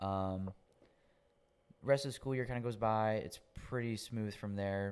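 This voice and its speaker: A man with a Southern US accent at a moderate pace. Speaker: podcast guest sharing his faith testimony. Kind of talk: testimony. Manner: casual.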